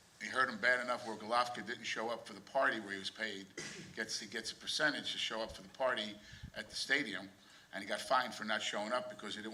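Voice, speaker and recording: Very fast speech in an American accent, with fairly even intonation, carries audible room echo and noticeable background noise. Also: man. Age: 60s. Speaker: boxing manager or promoter. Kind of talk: press conference remarks. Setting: press conference.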